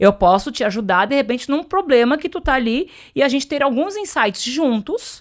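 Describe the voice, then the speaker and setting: A high-pitched woman's voice at a moderate pace, animated in tone, with very wide pitch swings. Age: 40s. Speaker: entrepreneur and business mentor. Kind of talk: podcast interview.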